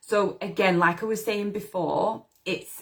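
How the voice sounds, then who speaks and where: Speaking at a moderate pace, a woman has a British accent. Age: 40s. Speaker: manifestation coach. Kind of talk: live stream talk. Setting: Facebook live video. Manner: casual, filler-heavy.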